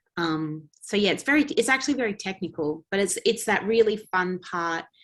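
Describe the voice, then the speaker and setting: A woman is talking. Her speech comes with an Australian accent. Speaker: actress. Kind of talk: interview.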